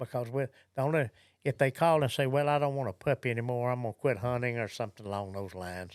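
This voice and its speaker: The recording is very clean, with a silent background. A man with a Southern US accent talks at a very fast pace and medium pitch, with ordinary pitch variation. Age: 70s. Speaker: gun dog trainer and kennel director. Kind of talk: podcast interview.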